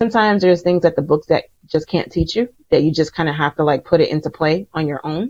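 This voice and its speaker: Talking at a fairly quick pace, a woman with a normal speaking voice uses a fairly low pitch and lively intonation. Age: 40s. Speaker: astrologer and writer. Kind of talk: casual interview chat. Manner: filler-heavy, many likes and ums.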